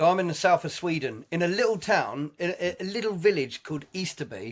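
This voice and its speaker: With an English accent, a man in a high voice speaks at a fairly quick pace with lively intonation. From southern England, Sussex. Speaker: jazz musician. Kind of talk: casual chat.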